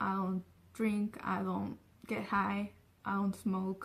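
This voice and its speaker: With a Spanish accent, a woman talks very slowly. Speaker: vlogger. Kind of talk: casual vlog talk. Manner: filler-heavy, says so and um a lot.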